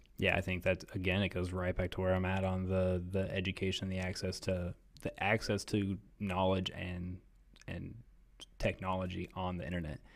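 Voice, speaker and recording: A man with an American accent speaks at a moderate pace in a very deep, low voice with monotone, flat intonation. The recording is very clean, with a silent background. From US Midwest, Columbus, Ohio. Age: 30s. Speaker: mayoral candidate, businessman. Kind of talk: interview.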